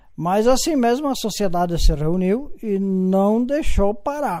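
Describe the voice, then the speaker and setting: A man with a high pitch and a dark, mellow tone speaks at a very slow pace with ordinary pitch variation on a very clean recording with a silent background. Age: 70s. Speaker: elderly local resident telling family history. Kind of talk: interview. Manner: halting.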